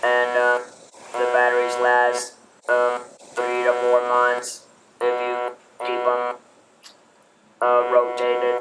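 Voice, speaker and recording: The speaker talks at a very slow pace in a flat monotone, with long, frequent pauses and music playing in the background. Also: man, medium pitch for a man. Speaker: laryngectomee. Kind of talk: casual talk to camera.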